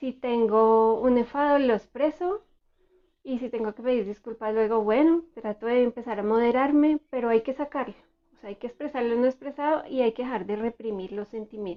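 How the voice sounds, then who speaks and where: A soft-spoken woman talks at a high pitch. Her pitch varies in an ordinary way. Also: moderate pace. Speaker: therapist. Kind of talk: educational talk.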